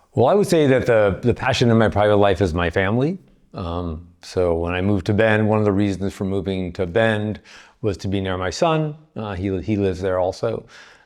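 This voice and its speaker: Against a quiet background, a man with an American accent talks at a fairly quick pace, his pitch fairly low with ordinary variation. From California. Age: 60s. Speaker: cancer patient. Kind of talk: interview. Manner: hesitant, many fillers.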